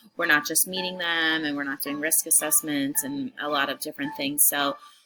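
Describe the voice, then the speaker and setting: Noticeable background noise sits behind a woman with a fairly low pitch. She talks at a moderate pace with lively intonation. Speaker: social work student. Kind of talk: class video introduction. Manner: hesitant, many fillers.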